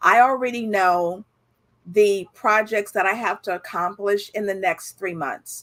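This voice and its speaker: A woman has an ordinary speaking voice at a medium pitch. She speaks at a fairly slow pace with ordinary pitch variation. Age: 60s. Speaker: entrepreneur and author. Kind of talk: interview.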